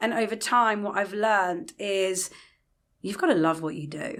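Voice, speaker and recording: Someone with a London accent speaks at a moderate pace on a very clean recording with a silent background. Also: woman. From England, London. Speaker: retail leasing director. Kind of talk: podcast interview. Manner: hesitant, many fillers.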